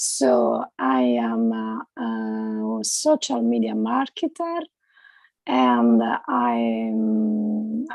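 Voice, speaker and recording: The speaker here is female. She talks with an Italian accent. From Italy. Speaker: social media marketer. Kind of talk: self-introduction. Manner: halting.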